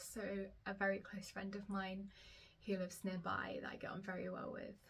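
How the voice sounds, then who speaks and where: A woman of medium pitch with an English accent. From England. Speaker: knitwear designer and knitting vlogger. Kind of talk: casual vlog chat to camera. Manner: chatty, with frequent fillers.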